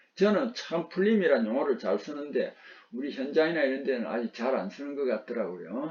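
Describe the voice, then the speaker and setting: With a Gyeongsang accent, a man talks at a fairly slow pace. His pitch swings very widely. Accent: Gyeongsang dialect, noticeable. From Gyeongsang region, South Korea. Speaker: vocational instructor. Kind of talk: lecture.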